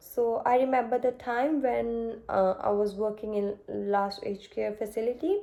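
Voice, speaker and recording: A woman speaks at a fairly slow pace, her pitch fairly high and her tone dark and mellow, with ordinary pitch variation. The recording is very clean, with a silent background. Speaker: nursing student. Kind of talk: mock job interview. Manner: halting, many fillers.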